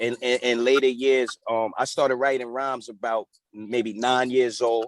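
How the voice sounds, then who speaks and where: A man's flat, monotone delivery, dry and close with no echo. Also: medium pitch for a man, moderate pace. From New York (Mount Vernon, Yonkers). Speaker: rapper and community activist. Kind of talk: casual interview. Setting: video call. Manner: halting, many fillers.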